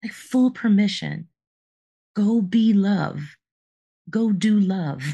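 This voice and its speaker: Her medium-pitched voice is somewhat breathy, with a dark, mellow tone. She speaks at a very slow pace with ordinary pitch variation. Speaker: podcast co-host, life coach. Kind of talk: casual chat.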